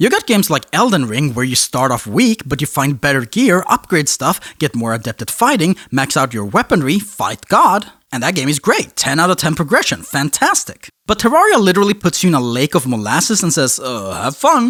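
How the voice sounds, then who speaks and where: A fairly quick pace with hardly any pauses. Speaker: video essayist. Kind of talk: scripted narration. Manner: fast; animated.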